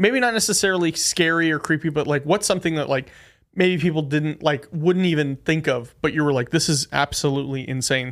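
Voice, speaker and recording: Delivered at a fairly quick pace, an unremarkable speaking voice keeps very even loudness and ordinary pitch variation in a very clean recording with a silent background. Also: man, fairly high pitch for a man. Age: 20s. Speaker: podcast host. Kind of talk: casual chat. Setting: studio.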